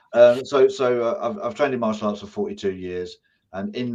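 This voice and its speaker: With an English accent, a man talks at a fairly quick pace, using ordinary pitch variation. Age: 60s. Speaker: business owner and martial arts instructor. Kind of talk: interview.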